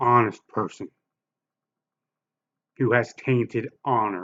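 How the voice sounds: Speaking slowly, a man has a fairly bright tone.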